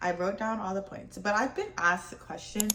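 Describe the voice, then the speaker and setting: Noticeable background noise sits behind the voice. A woman speaks at a medium pitch. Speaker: lifestyle vlogger. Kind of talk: casual vlog talk to camera. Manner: halting, stumbling over words.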